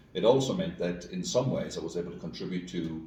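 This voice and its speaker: Over noticeable background noise and audible room echo, a man talks very fast in a very deep, low voice. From rural west of Ireland. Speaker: school executive and educator. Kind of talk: interview conversation. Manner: hesitant, many fillers and repeats.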